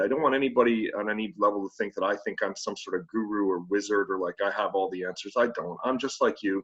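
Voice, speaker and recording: Talking at a very fast pace, a man speaks with a Canadian accent. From Canada, Ontario. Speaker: headteacher, keynote speaker. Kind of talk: conference keynote talk. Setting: online video conference. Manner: hesitant, many fillers.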